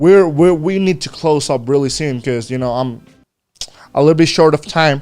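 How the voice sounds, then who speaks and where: A man with a Spanish accent talks at a fairly high pitch with ordinary pitch variation. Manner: casual, code-switching with halting pauses.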